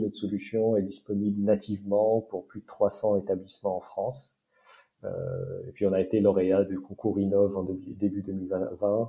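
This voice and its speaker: In a monotone, flat intonation, a man talks at a fairly slow pace with a fairly low pitch. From Morocco. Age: 30s. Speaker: startup founder and engineer. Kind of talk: interview. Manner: halting, many hesitations.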